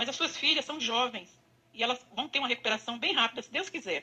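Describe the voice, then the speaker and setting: A woman's high voice with lively intonation at a fairly quick pace. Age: 60s. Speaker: former church member giving advice. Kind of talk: recorded voice message, testimony. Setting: recorded audio message.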